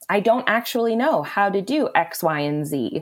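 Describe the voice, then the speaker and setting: A woman with an American accent and an unremarkable speaking voice, lively intonation at a fairly slow pace, in a very clean recording with a silent background. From Wisconsin, small town. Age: 30s. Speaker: food blogger. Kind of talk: interview.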